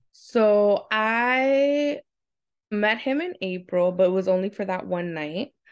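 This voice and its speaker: Against a quiet background, a woman with a New York accent speaks very slowly. Her intonation is lively. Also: medium pitch for a woman. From Queens, New York. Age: 30s. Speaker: special education teacher. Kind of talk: casual interview.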